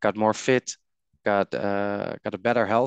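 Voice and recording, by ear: A man speaks at a fairly slow pace and fairly low pitch, with vocal fry and ordinary pitch variation. His tone is clear and smooth, and the sound is dry and close with no echo.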